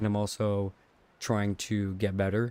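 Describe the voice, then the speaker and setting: The man's pitch sits fairly low. His intonation is monotone and flat. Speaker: streamer. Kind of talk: casual chat. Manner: low energy, subdued.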